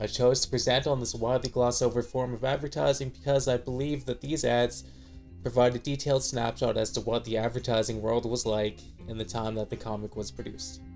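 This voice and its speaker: With music in the background, a man speaks at a fairly quick pace, his pitch medium and its variation ordinary. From Canada. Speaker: student. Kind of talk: class presentation narration. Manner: casual, wry.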